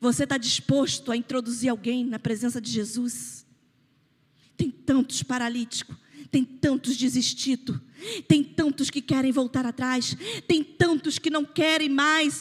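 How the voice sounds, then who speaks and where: In a Rio de Janeiro accent, the speaker talks at a fairly slow pace with an animated tone. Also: woman, high pitch for a woman, ordinary pitch variation. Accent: Carioca (Rio de Janeiro) Brazilian Portuguese. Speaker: pastor. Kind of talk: sermon.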